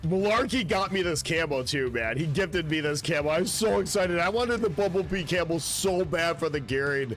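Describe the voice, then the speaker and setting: A man's high pitch with an American accent, lively intonation, very even loudness, a fairly quick pace and hardly any pauses, over music in the background. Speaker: video game streamer. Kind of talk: live game streaming chat. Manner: animated.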